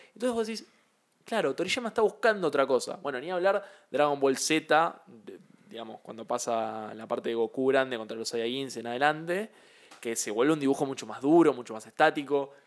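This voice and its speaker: With an unremarkable speaking voice, a man talks at a fairly quick pace and fairly high pitch, using lively intonation and big swings in loudness. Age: 20s. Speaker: podcast co-host. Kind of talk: casual chat.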